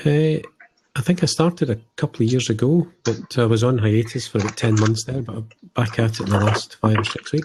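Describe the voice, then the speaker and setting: A medium-pitched man with a Scottish accent, at a fairly quick pace and with ordinary pitch variation. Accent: Scottish, noticeable. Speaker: hobby podcaster. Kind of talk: casual chat.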